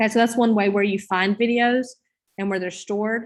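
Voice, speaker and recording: A woman speaks at medium pitch with a Southern US accent. Her intonation is monotone and flat against a quiet background. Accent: Southern drawl. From US South. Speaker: teacher trainer. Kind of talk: online training session. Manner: casual. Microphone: video call.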